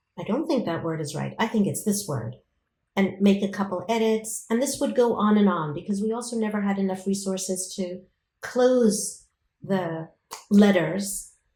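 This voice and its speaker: Speaking at a moderate pace with an American accent, a woman uses medium pitch and ordinary pitch variation, her tone dark, mellow and somewhat breathy. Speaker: professor. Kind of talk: interview.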